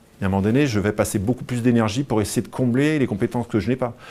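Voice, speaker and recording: With a medium pitch, a man speaks with ordinary pitch variation. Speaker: speaker giving a talk on burnout. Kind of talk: live talk to an audience. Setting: venue with live audience. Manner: fast; animated.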